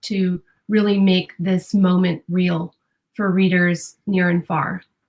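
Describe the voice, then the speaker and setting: A woman speaks at a fairly slow pace in a medium pitch, her voice somewhat breathy and her intonation fairly even. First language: Spanish. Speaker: newspaper reporter. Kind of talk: interview. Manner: hesitant, many fillers.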